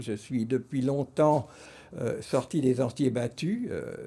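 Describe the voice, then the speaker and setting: The voice has a dark, mellow tone with ordinary pitch variation. It moves at a very slow pace. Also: man. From France. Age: 70s. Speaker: artist. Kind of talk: interview monologue. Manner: hesitant, many fillers.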